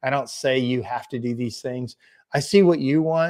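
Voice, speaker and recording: A man's fairly high voice with a slight Southern US accent and fairly even intonation, on a very clean recording with a silent background. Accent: slight Southern drawl. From Indiana, US Midwest. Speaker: business coach and livestream host. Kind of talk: live stream chat reading viewer comments. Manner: casual, halting.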